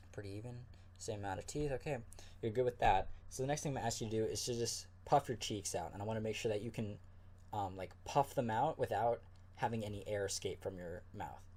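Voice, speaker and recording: Somewhat breathy and very fast, a man speaks at medium pitch with ordinary pitch variation. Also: very clean recording, silent background. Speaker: ASMR creator. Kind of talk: ASMR medical exam role play. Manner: soft-spoken, calm.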